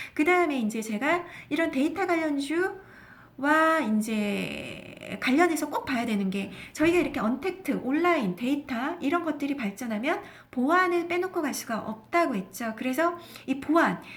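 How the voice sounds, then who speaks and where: Her pitch is high, and this woman swings it very widely. She speaks at a moderate pace. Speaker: stock market broadcaster. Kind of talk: investment talk show.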